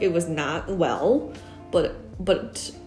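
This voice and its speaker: There is music in the background. Over it, a woman speaks at a medium pitch. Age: 30s. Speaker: UX designer. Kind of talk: casual talk to camera.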